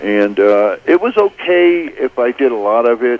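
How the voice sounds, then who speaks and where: With noticeable background noise behind him, a man speaks at medium pitch with lively intonation. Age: 60s. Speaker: caller. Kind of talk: radio call-in.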